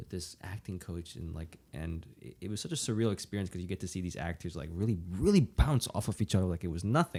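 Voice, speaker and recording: A dark, mellow voice at a very fast pace, with big swings in loudness, ordinary pitch variation and hardly any pauses, on a very clean recording with a silent background. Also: man, very deep, low pitch for a man. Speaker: podcast host. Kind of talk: casual chat.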